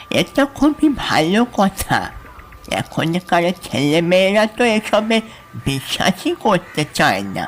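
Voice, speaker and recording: A put-on, nasal character voice, female-sounding, at a middle pitch with lively intonation and a very slow pace, over clear background noise. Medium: audio drama.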